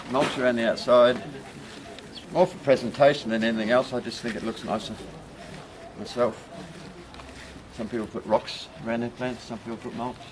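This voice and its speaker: Over noticeable background noise, a man with a New Zealand accent talks at a fairly quick pace in a relaxed tone and medium pitch, with fairly even intonation, big swings in loudness and long, frequent pauses. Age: 60s. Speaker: bromeliad grower. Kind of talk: gardening demonstration. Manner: casual, relaxed.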